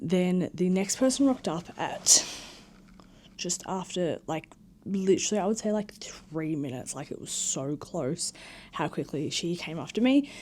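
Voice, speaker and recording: A woman with an Australian accent at medium pitch, lively intonation, a moderate pace, and big swings in loudness. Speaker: vlogger. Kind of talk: casual vlog chat. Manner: animated.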